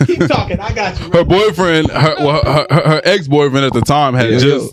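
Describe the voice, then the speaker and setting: With an American accent, a man speaks at a fairly high pitch and a moderate pace. His intonation is lively, and there is noticeable background noise. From Houston, Texas (Sugar Land / Missouri City). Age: 20s. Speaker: blog owner. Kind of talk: casual chat.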